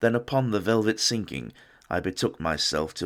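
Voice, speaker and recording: On a very clean recording with a silent background, a man talks with lively intonation and vocal fry. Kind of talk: poetry reading.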